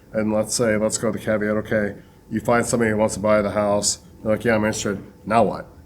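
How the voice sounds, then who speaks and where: The intonation is flat and monotone, with loudness kept very even. Delivery comes at a very fast pace. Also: man, fairly low pitch for a man. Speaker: realtor and firefighter. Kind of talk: casual podcast chat.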